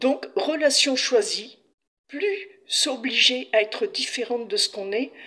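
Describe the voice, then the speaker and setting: Raised and projected, a woman's high-pitched voice moves through very wide pitch swings at a very slow pace. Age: 60s. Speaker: patient sharing her illness experience. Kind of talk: testimony.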